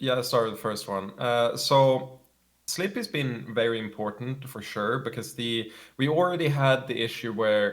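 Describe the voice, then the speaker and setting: A man talks in a Swedish accent. His pitch is medium, with ordinary variation. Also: moderate pace. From Sweden. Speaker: competitive gamer. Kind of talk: interview. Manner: halting, frequent fillers and repeats.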